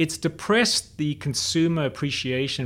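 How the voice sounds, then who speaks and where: With a somewhat breathy voice, a man speaks at a moderate pace. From South Africa. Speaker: surfboard company executive. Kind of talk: interview.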